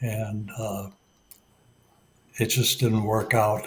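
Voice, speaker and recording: A man with an American accent talks at a very slow pace. His voice is somewhat breathy. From US Midwest, Detroit. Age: 80s+. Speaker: retired Marine aviator. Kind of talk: interview. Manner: halting, many fillers.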